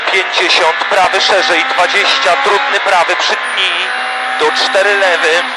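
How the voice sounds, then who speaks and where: Over loud background noise, the speech comes at a very slow pace with a dry sound and no echo. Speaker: rally co-driver. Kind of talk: rally co-driver reading pace notes aloud. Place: car.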